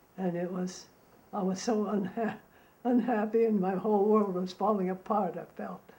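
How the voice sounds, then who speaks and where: Noticeable background noise is present. The talking goes at a fairly slow pace. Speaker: war survivor interviewee. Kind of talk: testimony.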